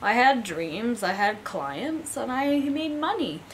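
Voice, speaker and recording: The pitch swings very widely. Light background noise sits behind the voice. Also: woman. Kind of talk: personal vlog testimony. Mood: candid, sometimes wry laughter. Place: home room.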